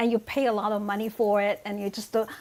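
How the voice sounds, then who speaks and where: A woman with a Chinese accent talks at a fairly quick pace over noticeable background noise. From China. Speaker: author. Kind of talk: casual chat. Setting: video call.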